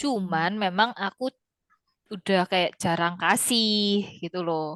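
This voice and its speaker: A woman in a strong Javanese accent at a very slow pace, medium in pitch with ordinary pitch variation. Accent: thick Javanese. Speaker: Mandarin language teacher. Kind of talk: online class chat. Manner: casual, with Javanese slang.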